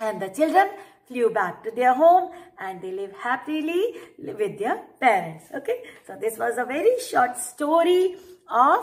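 Against a quiet background, a woman with a high pitch speaks at a fairly slow pace, with very wide pitch swings and big swings in loudness. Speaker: teacher storyteller. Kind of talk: storytelling to children. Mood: warm, cheerful. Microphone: webcam.

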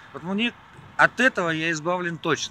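The speech comes at a moderate pace, with a dry sound with no echo and light background noise. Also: man. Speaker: interviewee. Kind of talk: interview answer. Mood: calm, relaxed. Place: waterside. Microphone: phone near.

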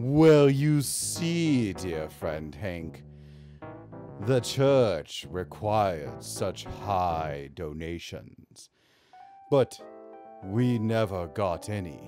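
Doing a put-on character voice, a man speaks very deep and low, with very wide pitch swings, at a very slow pace with long, frequent pauses, as faint music plays in the background. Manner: slow, formal, mysterious.

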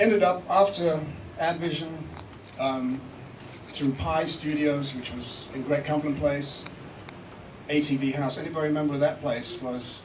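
A man's fairly high voice at a fairly slow pace, with long, frequent pauses, ordinary pitch variation and noticeable background noise. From South Africa. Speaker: recording engineer and producer giving a seminar. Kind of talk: seminar talk. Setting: stage with live audience. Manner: animated, joking. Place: hall. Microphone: camera far.

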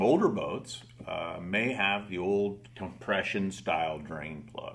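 The voice belongs to a man. It sits at a very deep, low pitch. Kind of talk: interview answer. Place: studio.

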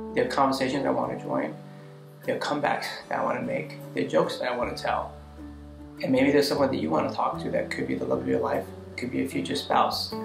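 A man speaks at a very fast pace, and noticeable noise runs behind him. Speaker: video blogger. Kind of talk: casual talk to camera. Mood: earnest, reflective. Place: home room.

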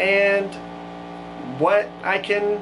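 A high-pitched male voice with music in the background. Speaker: knife maker YouTuber. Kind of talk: casual vlog chat. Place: workshop.

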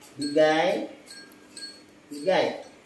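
Amid light background noise and audible room echo, a man speaks at a very slow pace. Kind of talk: talking to pets. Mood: playful, scolding. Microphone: camera far.

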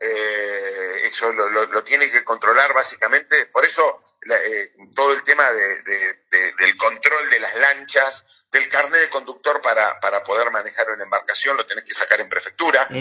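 A man speaks fairly slowly, and the background is quiet. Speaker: city councillor. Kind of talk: interview answer.

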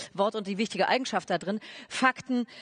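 Over a quiet background, a woman talks at a very fast pace with ordinary pitch variation. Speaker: stage moderator. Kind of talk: speaker introduction. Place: stage. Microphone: headset.

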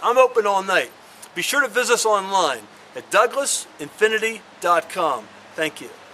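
A man projects a raised voice in a bright, sharp tone at a moderate pace, his intonation lively. His loudness swings widely over light background noise. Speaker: car salesman. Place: street. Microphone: camera far.

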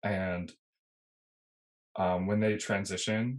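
The setting behind the voice is quiet. A man speaks fairly slowly. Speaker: podcast guest. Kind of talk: interview answer. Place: home room. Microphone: video call.

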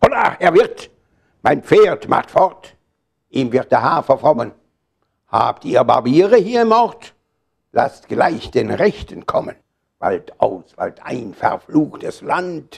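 Speech comes at a very slow pace with long, frequent pauses. The background is quiet. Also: man. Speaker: poetry reciter. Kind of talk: poetry reading. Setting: live reading in a hall. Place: shop. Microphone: lapel.

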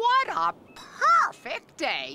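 In a cartoonish character voice, the speaker goes at a very slow pace with very wide pitch swings and a bright, sharp tone.

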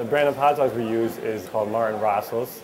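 The intonation remains fairly even. Noticeable background noise sits behind the voice. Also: man. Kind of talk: interview answer. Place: shop.

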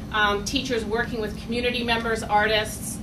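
Over noticeable background noise, a woman with a fairly high pitch speaks at a moderate pace. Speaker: doctoral student. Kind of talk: event moderation. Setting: stage with audience.

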